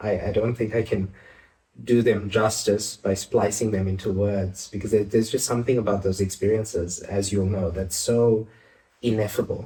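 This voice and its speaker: Somewhat breathy with a dark, mellow tone, a man speaks at a moderate pace in a monotone with flat intonation. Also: fairly low pitch for a man. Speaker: clinical psychologist. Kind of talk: interview answer. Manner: gentle, calming.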